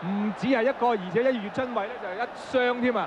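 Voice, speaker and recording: There is noticeable background noise as a man speaks at a very fast pace. His voice is high-pitched, with ordinary pitch variation. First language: Cantonese (speaking Vietnamese). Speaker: football commentator. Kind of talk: live commentary.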